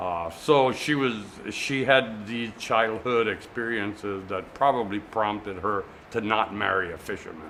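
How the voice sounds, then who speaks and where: Noticeable background noise sits behind a man's voice. He speaks at a fairly low pitch with ordinary pitch variation. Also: fairly slow pace. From US Virgin Islands, St. Thomas (Frenchtown). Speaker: museum manager, community board member. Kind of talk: oral history interview. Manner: hesitant, many fillers.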